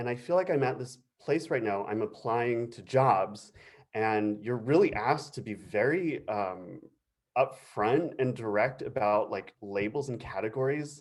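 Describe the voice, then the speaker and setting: A man speaks at a fairly slow pace. His medium pitch has ordinary pitch variation. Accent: American. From US (San Diego area). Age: 30s. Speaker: flutist, panel speaker. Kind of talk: panel presentation. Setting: video call. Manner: halting, hesitant.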